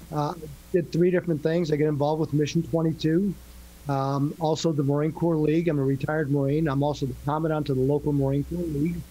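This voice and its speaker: At a very fast pace, a man speaks in a fairly high pitch with a dark, mellow, somewhat breathy tone and monotone, flat intonation. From New England. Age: 60s. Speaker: retired Marine and real estate professional. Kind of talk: podcast interview. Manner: halting.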